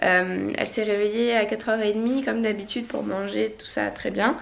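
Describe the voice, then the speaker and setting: The woman talks at a fairly quick pace. Room echo is audible and background noise is noticeable. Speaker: family vlogger. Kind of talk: casual vlog. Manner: casual, hesitant.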